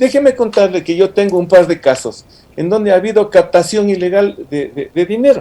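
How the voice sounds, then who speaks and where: A man speaks at high pitch and a moderate pace. His tone is dark and mellow, with lively intonation. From Ecuador, Ibarra. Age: 60s. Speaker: lawyer, political analyst. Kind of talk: radio interview. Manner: animated.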